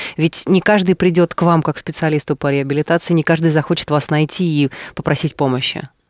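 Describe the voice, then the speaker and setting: Over a quiet background, a man talks at a fairly quick pace and fairly high pitch, with fairly even intonation, very even loudness and a dry sound with no echo. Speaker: radio host. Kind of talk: radio interview. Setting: studio. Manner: formal. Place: studio. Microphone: studio mic.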